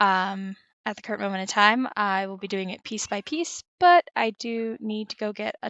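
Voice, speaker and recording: Lively intonation carries a woman's ordinary speaking voice, medium in pitch, at a fairly slow pace. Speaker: gaming YouTuber. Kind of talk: casual gameplay commentary.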